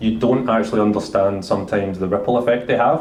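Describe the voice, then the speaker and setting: Audible room echo surrounds a man with a strong Glasgow accent and ordinary pitch variation. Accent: thick Glasgow. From Scotland, Glasgow. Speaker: senior engineering director, panelist. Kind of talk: panel discussion.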